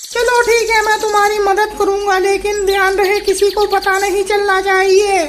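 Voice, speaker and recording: A cartoonish character voice runs on with hardly any pauses over clear background noise. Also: moderate pace. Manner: cautious, secretive.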